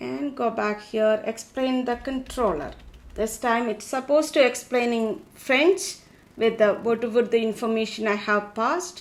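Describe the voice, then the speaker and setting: A woman in a Keralan accent speaks in a fairly high voice with lively intonation. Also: moderate pace. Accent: Indian English (Malayali). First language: Malayalam. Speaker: tech tutorial creator. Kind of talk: tutorial.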